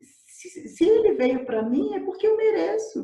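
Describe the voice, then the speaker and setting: Amid audible room echo, a woman speaks at a very slow pace with very wide pitch swings. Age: 30s. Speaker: coach. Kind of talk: testimony. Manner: halting.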